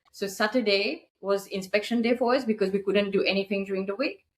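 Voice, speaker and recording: With a French accent, a woman speaks at a fairly quick pace in a medium pitch. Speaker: short-term rental business owner. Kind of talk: casual interview chat.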